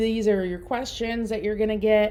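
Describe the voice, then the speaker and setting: Dark and mellow in tone, the voice comes with a Minnesotan accent. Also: woman. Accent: Minnesota. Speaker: podcast host. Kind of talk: casual solo podcast talk.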